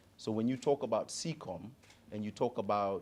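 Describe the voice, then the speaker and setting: A man with an East African accent, medium pitch, ordinary pitch variation and a moderate pace. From Tanzania. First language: Swahili. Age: 40s. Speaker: digital advisor. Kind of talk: panel conversation.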